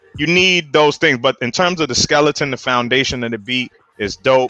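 Medium pitch, moderate pace, and a normal speaking voice from a man. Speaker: podcast co-host. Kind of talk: casual chat.

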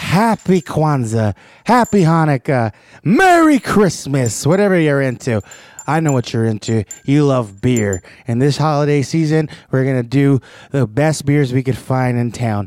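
A man with a fairly high pitch and a normal speaking voice talks at a fairly slow pace with lively intonation and very even loudness, the sound dry and close with no echo. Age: 30s. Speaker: beer podcast host. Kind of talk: casual chat; scripted narration.

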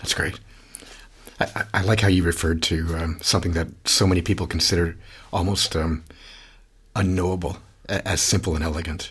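A man with a Canadian accent, very deep, low pitch, monotone, flat intonation, a fairly quick pace and long, frequent pauses. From Canada. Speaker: podcast host, research institute director. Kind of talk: interview. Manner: halting, many repetitions.

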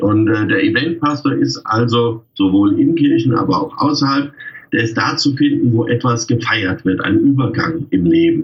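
Here a man talks at a moderate pace. His loudness stays very even. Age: 50s. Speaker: freelance wedding pastor. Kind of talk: casual interview.

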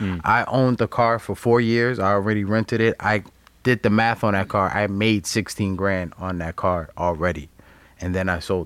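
In a very clean recording with a silent background, a man with a plain, everyday voice speaks at a moderate pace in a fairly low pitch with fairly even intonation. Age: 30s. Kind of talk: casual chat.

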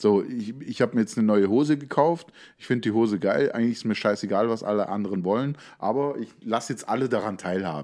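On a very clean recording with a silent background, a man talks at a very fast pace. His medium-pitched voice has a dark, mellow tone and ordinary pitch variation. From Lake Constance region, southern Germany. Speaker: podcast co-host. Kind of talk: casual chat.

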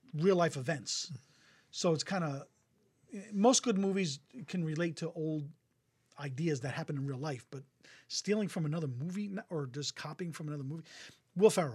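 The speaker has an American accent and a fairly quick pace. Long pauses come often. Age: 50s. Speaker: podcast host. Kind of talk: casual chat. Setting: studio, streamed live on Facebook.

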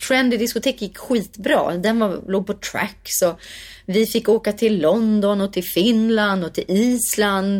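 A woman with a plain, everyday voice speaks fairly slowly at a fairly high pitch, her intonation fairly even. The recording is very clean with a silent background. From Sweden, Värmdö near Stockholm. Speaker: singer and actress. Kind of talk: interview conversation.

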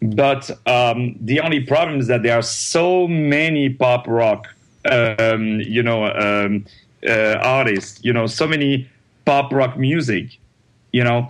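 A man with a French accent at medium pitch, ordinary pitch variation and a very slow pace. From France, Paris. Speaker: opera and Broadway singer. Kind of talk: interview. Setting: phone call. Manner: animated, laughs often.

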